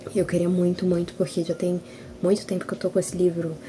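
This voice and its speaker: A woman speaks softly. Her pitch sits fairly low. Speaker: writer and video blogger. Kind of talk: casual vlog chat. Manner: soft-spoken.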